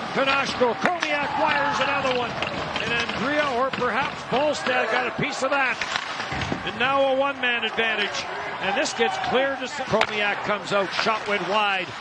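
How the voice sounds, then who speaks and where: The speech moves at a moderate pace with ordinary pitch variation, and noticeable background noise can be heard. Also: man, extremely high pitch for a man. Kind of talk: hockey play-by-play commentary. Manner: rattles off passes and shots in a continuous stream.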